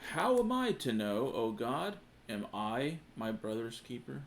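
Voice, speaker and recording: A gruff, put-on character voice moves at a fairly slow pace. Its intonation is lively. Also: man, medium pitch for a man. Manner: proud.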